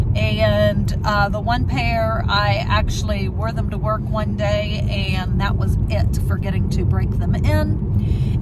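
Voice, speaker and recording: Loud background noise surrounds a woman's voice. The recording is dry, without any echo. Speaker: background extra and travel vlogger. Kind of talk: casual vlog commentary. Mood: tired but friendly. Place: car. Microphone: phone near.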